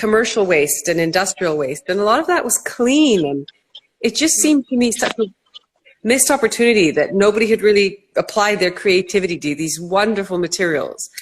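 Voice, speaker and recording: A woman with a Canadian accent and very wide pitch swings. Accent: Canadian, noticeable. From Canada. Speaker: entrepreneur, company co-founder. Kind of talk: interview.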